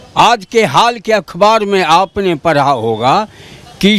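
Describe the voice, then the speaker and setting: Lively in intonation and high in pitch, a man speaks over noticeable background noise. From Bihar, Begusarai. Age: 70s. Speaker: local voter. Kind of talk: street interview.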